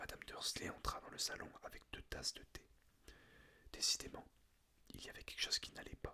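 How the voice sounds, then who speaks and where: A whisper proceeds at a moderate pace, broken by long, frequent pauses. Underneath, background noise is noticeable. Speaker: ASMR creator. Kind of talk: reading aloud. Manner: whispering.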